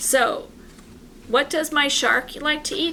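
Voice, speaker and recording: A woman speaks in a raised, projected voice at a fairly slow pace. Background noise is noticeable. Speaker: art teacher. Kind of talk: tutorial.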